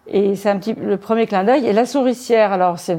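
A woman speaks at a moderate pace in a dark, mellow tone, her medium pitch showing ordinary variation. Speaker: crime novelist and former police commissioner. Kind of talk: interview. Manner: halting.

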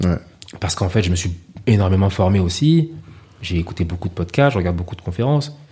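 A man with a very deep, low pitch talks at a very fast pace with lively intonation, broken by long, frequent pauses. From Paris, France (Ivorian parents). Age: 30s. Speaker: chef. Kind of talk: casual interview.

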